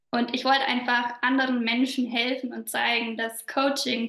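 A woman with a slight Bavarian accent speaks at a fairly high pitch and moderate pace, her intonation monotone and flat. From southern Bavaria. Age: 20s. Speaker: business coach. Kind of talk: podcast interview.

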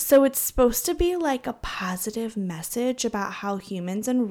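A plain, everyday voice speaks at a fairly quick pace. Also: woman. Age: 30s. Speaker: podcast co-host, homeschooling mother. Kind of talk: casual chat.

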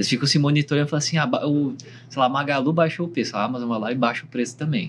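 The speaker is a man with a somewhat breathy voice. His pitch shows ordinary variation. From Brazil. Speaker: startup founder. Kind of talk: panel discussion. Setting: recording room at a trade summit.

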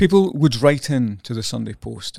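At a moderate pace, a man with a Scottish accent speaks in a dark, mellow tone, with a dry, close sound with no echo on a very clean recording with a silent background. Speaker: journalist. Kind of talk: casual chat.

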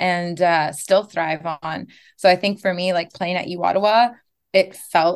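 A woman's plain, everyday voice, fairly low in pitch, with fairly even intonation at a fairly slow pace. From Gatineau, Ottawa region, Canada (Algonquin community). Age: 20s. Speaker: former university soccer player and coach. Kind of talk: casual interview. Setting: video call.

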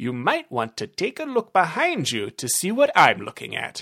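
This put-on character voice has a fairly bright tone with a slightly husky edge and vocal fry, moving at a moderate pace through very wide pitch swings.

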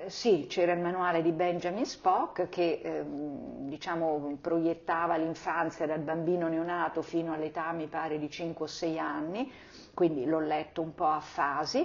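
A woman in a normal speaking voice, fairly low-pitched and fairly slow, with fairly even intonation. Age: 60s. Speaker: mother of the host. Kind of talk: casual interview.

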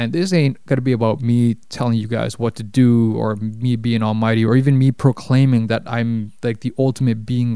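A man with a Toronto accent speaks at a medium pitch in a dark, mellow tone with fairly even intonation. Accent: Canadian English, Toronto. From Canada, Toronto. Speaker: podcast host and life coach. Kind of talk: solo podcast monologue. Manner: casual, with many fillers.

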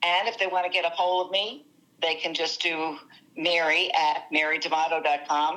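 A woman with a New Jersey accent talks at a moderate pace in a bright, sharp tone. Her pitch sits fairly low, her intonation stays fairly even, and her loudness is very even. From New Jersey, US (Italian-American community). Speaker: success coach. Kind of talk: interview.

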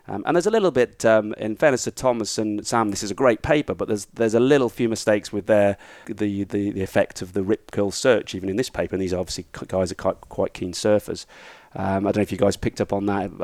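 Talking at a very fast pace, a man with a British accent and a fairly low pitch shows ordinary pitch variation, with a dry, close sound with no echo. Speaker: economics teacher and former surf coach. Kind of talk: casual interview.

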